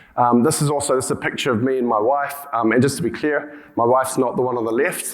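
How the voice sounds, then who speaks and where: Fairly quick speech from a man with a New Zealand accent, in audible room echo. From New Zealand, rural. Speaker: healthcare tech company CEO. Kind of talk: conference talk. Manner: halting, many fillers and restarts.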